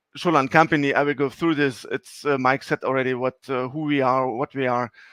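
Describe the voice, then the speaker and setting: A man of medium pitch in a German accent, fairly quick with fairly even intonation, in a dry, close sound with no echo. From Germany. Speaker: sales executive. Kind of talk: presentation. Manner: halting, many fillers.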